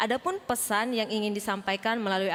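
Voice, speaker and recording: At a fairly quick pace, the talk comes in a normal speaking voice, its pitch varying in an ordinary way. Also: woman. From Indonesia, Makassar (Sulawesi). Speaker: Sunday school teacher. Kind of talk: welcome speech at church service. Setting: church. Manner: formal.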